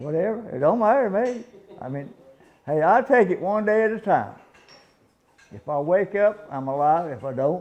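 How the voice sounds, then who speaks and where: With a Southern US accent, a high-pitched man speaks with lively intonation. His loudness swings widely, and he pauses long and often. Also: moderate pace. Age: 80s+. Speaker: retired race car owner. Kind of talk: casual interview. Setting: sit-down interview. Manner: halting, repeats words.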